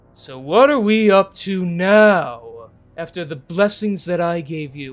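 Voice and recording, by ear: A man's put-on character voice, high-pitched, with lively intonation, big swings in loudness and a fairly slow pace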